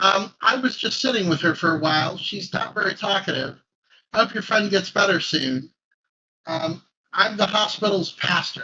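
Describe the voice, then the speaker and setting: In a raspy, put-on character voice with a gentle tone, the speaker goes at a moderate pace with ordinary pitch variation. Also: man, high pitch for a man. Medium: actual play. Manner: gentle, kindly.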